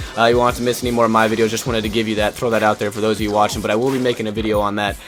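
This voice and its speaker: Music plays in the background as a man speaks. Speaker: gaming YouTuber. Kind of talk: gameplay commentary vlog. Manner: casual, frequent fillers.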